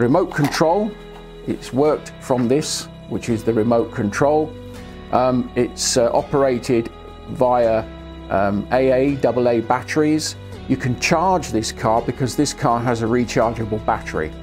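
Clear music plays in the background as a man speaks at a fairly slow pace. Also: ordinary pitch variation. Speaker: product reviewer. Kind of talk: product review to camera. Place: studio. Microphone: lapel.

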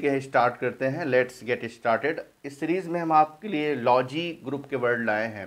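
At a fairly slow pace, a man talks in a plain, everyday voice that is fairly high for a man, with ordinary pitch variation. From India. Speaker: English teacher. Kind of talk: tutorial. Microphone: phone near.

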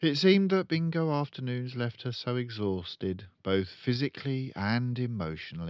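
Lively intonation throughout plain reading aloud

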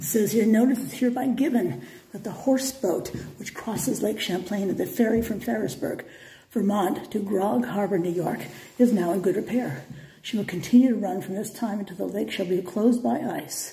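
Lively intonation marks this woman's speech. She keeps a moderate pace. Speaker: history travel vlogger. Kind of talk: reading plaques aloud, tour commentary. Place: empty room. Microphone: phone near.

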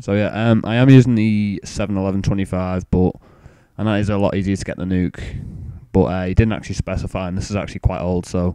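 In an English accent, a man talks at a very fast pace in a fairly low pitch, with a dark, mellow tone and fairly even intonation. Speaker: gaming youtuber. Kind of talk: gameplay commentary intro.

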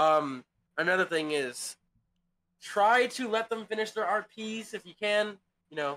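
Raised and projected, a high-pitched man's voice carries lively intonation and big swings in loudness at a fairly slow pace with long, frequent pauses. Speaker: game server staff leader. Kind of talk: staff meeting. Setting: online voice chat.

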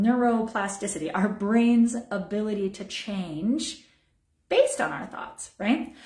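A woman's fairly high voice at a moderate pace, with audible room echo against a quiet background. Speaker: wellness program director and massage therapist; wellness teacher. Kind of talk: online teaching. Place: home room. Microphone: phone near.

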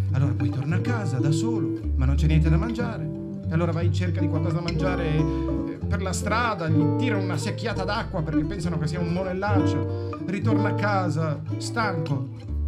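With loud music in the background, a man talks at a moderate pace with hardly any pauses. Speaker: voice actor and audiobook narrator. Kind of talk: informal retelling to children, summarising the story. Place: shop. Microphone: camera far.

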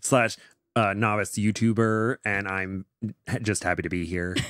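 Speaking at a moderate pace with a monotone, flat intonation, a man with a fairly low pitch for a man is heard in a dry sound with no echo against a quiet background. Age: 20s. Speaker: background actor and novice YouTuber. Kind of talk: casual chat. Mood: friendly, upbeat. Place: home room. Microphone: studio mic.

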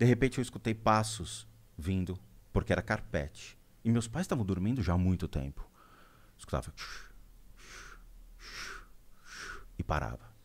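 Using lively intonation and vocal fry, a man with a fairly low pitch talks at a moderate pace, pausing long and often, his loudness swinging widely. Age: 40s. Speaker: spiritual medium; podcast guest. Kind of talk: interview storytelling. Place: studio. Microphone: studio mic.

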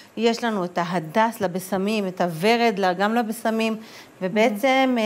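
The woman talks at a very slow pace, her fairly high voice showing ordinary pitch variation. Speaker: author and community activist; news guest. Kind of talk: interview. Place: studio. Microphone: lapel.

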